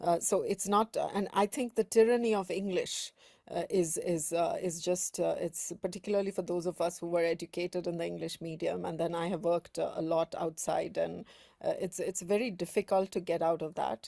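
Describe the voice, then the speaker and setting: A woman with a fairly low pitch and a dark, mellow tone talks at a fairly quick pace with fairly even intonation. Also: dry, close sound with no echo. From North India. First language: Hindi dialect of North India. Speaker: academic journal editor. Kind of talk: panel discussion. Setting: video call webinar. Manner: halting, many fillers.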